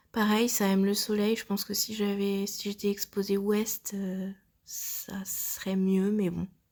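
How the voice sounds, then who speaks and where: A woman speaks at a medium pitch and a very slow pace in a monotone, flat intonation, on a very clean recording with a silent background. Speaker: plant hobbyist. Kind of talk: voice-over plant tour. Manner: hesitant, casual.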